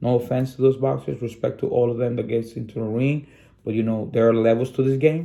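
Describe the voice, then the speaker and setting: A man speaks with a non-native accent. His voice has a dark, mellow tone. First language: Spanish. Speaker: sports channel host. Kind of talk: casual commentary monologue. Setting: studio. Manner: animated.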